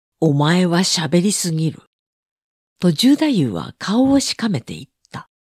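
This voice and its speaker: Fairly low in pitch and somewhat breathy, a woman speaks at a fairly slow pace. Her pitch swings very widely, and she leaves long, frequent pauses. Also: big swings in loudness, dry, close sound with no echo. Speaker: audiobook narrator. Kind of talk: reading aloud.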